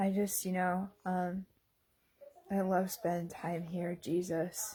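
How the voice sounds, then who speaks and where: In a dark, mellow tone, a woman speaks very slowly at a medium pitch, somewhat breathy and flat, with monotone intonation. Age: 30s. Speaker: video diarist. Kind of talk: casual vlog monologue. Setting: bedroom at home. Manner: halting, many fillers.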